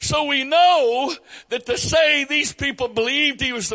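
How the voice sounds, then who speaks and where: An extremely high-pitched man's voice, raised and projected. His tone is bright and sharp, and his pace is fairly slow. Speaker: preacher. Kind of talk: sermon. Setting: church.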